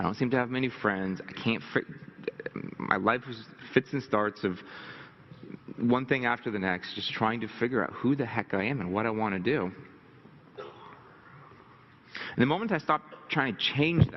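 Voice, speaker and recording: A man with a nervous tone speaks at medium pitch with ordinary pitch variation. He leaves long, frequent pauses. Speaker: business mentor giving a motivational presentation. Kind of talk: motivational talk. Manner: fast; nervous laugh, clears throat often.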